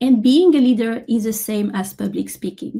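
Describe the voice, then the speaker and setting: A woman's somewhat breathy voice in a French accent, dark and mellow in tone, with lively intonation and a fairly slow pace. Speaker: software engineer and conference keynote speaker. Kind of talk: conference keynote talk.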